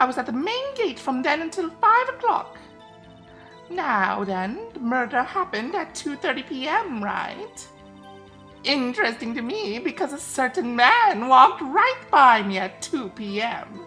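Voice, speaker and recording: A female-sounding put-on character voice, high in pitch, at a moderate pace. Clear music plays in the background. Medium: game stream. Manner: chatty, rambling, calls people dearie.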